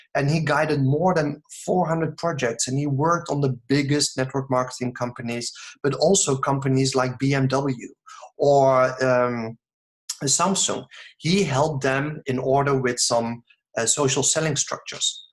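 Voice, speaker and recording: This man's voice sits at a fairly high pitch and sounds somewhat breathy, with very even loudness, fairly even intonation and a moderate pace. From Netherlands. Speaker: network marketing distributor. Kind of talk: sales pitch. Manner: mumbling; halting.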